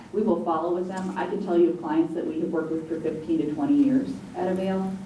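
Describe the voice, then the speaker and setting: Noticeable background noise and audible room echo surround a woman with an American accent whose fairly low pitch shows ordinary variation as she talks at a fairly quick pace. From eastern US. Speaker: executive director of domestic violence shelter. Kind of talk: panel discussion. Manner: fast.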